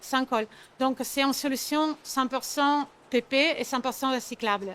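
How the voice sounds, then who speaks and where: With an Italian accent, a woman speaks at a fairly slow pace in a high pitch. Her loudness is very even and her intonation fairly even. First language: Italian (speaking French). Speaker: sales manager at packaging company. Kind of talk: trade show interview. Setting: trade fair. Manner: halting, many hesitations.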